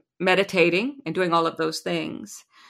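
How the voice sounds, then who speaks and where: Recorded very cleanly against a silent background, a woman with an American accent talks at a moderate pace in a bright, sharp tone with vocal fry, her fairly low pitch showing ordinary variation. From US Midwest, Lincoln, Nebraska. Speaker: sound healer. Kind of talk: interview.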